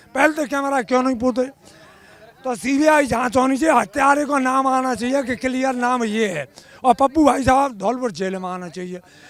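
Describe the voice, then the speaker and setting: A man talks at an extremely high pitch. His pitch varies in an ordinary way. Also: moderate pace. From Agra region, Uttar Pradesh. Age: 60s. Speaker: protest supporter. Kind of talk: street interview statement. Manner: impassioned.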